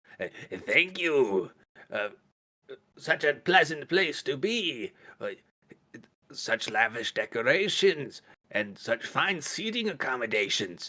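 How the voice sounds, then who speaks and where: Using a put-on character voice with a fairly high pitch, a man talks at a fairly slow pace, leaving long, frequent pauses. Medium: actual play. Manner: formal, flattering.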